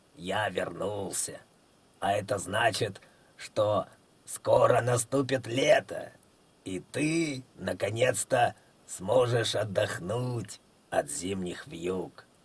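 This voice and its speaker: A man in a put-on character voice, hoarse and medium in pitch, speaks at a very slow pace with long, frequent pauses. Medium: read story. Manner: calm, reasonable.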